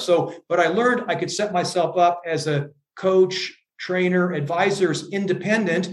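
A man with an American accent speaks at a high pitch, his voice carrying audible room echo. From US Midwest, Iowa. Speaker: leadership coach and author. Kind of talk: interview.

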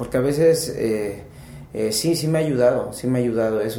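A man with a medium-pitched voice talks amid noticeable background noise and audible room echo. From Mexico, Pachuca, Hidalgo. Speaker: rock band leader and musician. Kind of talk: podcast interview.

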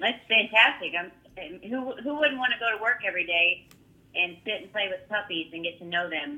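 A normal speaking voice from a woman, fairly high in pitch, at a moderate pace. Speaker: kennel manager. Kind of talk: casual interview chat. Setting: phone call.

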